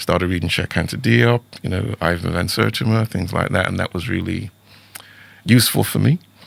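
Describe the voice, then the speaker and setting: A man with an American accent speaks at a fairly quick pace in a very deep, low voice with vocal fry and lively intonation, recorded dry and close with no echo. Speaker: teacher and author. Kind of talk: interview conversation.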